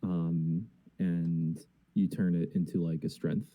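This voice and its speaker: Very deep and low in pitch, the man's voice has a dark, mellow tone. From New Jersey. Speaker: band vocalist. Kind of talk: interview.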